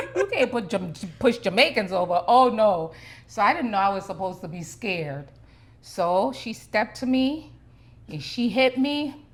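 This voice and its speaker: Somewhat breathy female voice, fairly high-pitched, with very wide pitch swings at a moderate pace. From Jamaica. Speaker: mother on family channel. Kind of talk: casual storytelling chat. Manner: animated.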